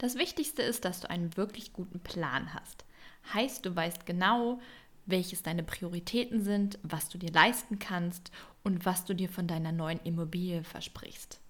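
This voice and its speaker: A woman's somewhat breathy voice at medium pitch, fairly slow, with ordinary pitch variation. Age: 20s. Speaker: podcast host, interior designer. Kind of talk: solo podcast monologue.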